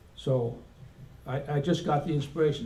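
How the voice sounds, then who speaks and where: The speaker talks at a moderate pace, and the room echo is audible. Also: man. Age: 70s. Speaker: Air Force veteran presenting a resolution. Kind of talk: convention speech. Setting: convention hall with audience. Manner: halting.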